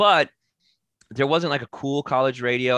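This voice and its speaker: A man talks at a very fast pace with a dry, close sound with no echo and a quiet background. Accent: American. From Texas, Denton. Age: 40s. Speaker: rock singer and comedian. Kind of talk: casual interview chat. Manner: halting, many fillers and restarts.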